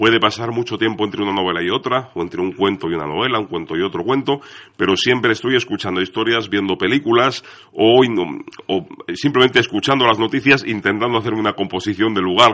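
A man talking very fast in a fairly low voice, with ordinary pitch variation. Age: young. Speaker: crime fiction author and editor. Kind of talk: radio interview.

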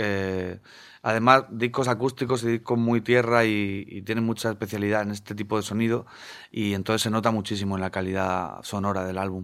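Monotone and flat, a man speaks at a fairly quick pace with a fairly low pitch. The recording is very clean, with a silent background. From Spain, Murcia (Segura river area). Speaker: singer-songwriter. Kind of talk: radio interview.

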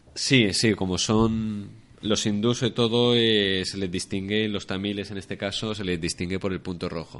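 Fairly low male voice with a Spanish accent, fairly even intonation, and a fairly slow pace. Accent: Spanish (Spain). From Spain, Alicante. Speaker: traveller and former volunteer teacher. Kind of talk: casual interview. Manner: halting.

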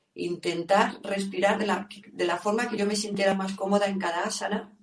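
A woman's normal speaking voice, medium in pitch, at a moderate pace. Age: 50s. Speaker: yoga teacher. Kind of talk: interview.

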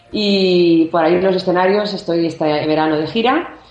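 Here a woman talks at a fairly low pitch with ordinary pitch variation. Audible room echo surrounds her voice. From Barcelona, Spain. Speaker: singer-songwriter. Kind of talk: interview. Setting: phone call.

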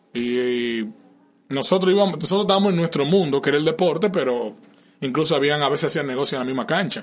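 A man talks at a very fast pace in a Dominican accent. His pitch is fairly high and his intonation is lively. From Dominican Republic, Santiago. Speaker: podcast host. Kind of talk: casual chat. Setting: studio.

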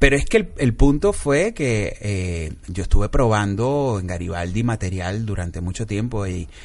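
A man with an unremarkable speaking voice talks at a fairly slow pace and fairly low pitch, with lively intonation and hardly any pauses. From Venezuela and Panama. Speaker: comedian and film director. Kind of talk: casual interview chat.

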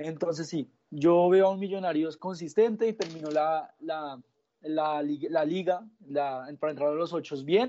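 A man talks at a fairly slow pace in a fairly high pitch, with ordinary pitch variation. He has a normal speaking voice. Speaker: football pundit. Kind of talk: sports analysis chat.

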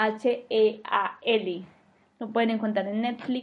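Speaking at a very slow pace, a woman uses a high pitch with fairly even intonation. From Colombia, Medellín. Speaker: podcast host. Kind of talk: solo monologue podcast.

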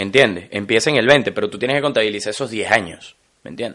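At a fairly quick pace, a man speaks in a medium pitch with a bright, sharp tone and lively intonation. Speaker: podcast co-host. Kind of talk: casual chat. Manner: animated.

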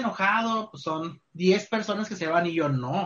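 The pitch rises and falls in an ordinary way. The speaker is male. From Culiacán, Sinaloa, Mexico. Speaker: university tourism program coordinator. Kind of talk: casual interview.

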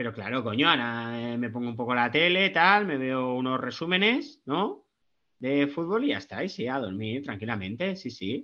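A man with an unremarkable speaking voice, pitched in the middle, talks at a moderate pace with lively intonation. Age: 40s. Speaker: football podcast guest, wine enthusiast. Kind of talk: casual chat.

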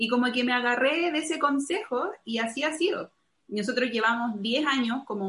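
With lively intonation, a woman talks at a moderate speed in an unremarkable speaking voice. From Chile. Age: 30s. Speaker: missionary. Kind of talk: testimony.

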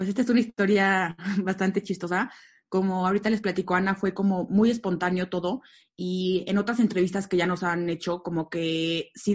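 A woman's unremarkable speaking voice at medium pitch, fairly even in intonation and fairly quick, over a quiet background. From Mexico, Aguascalientes. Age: 30s. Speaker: event company co-founder. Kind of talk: casual interview.

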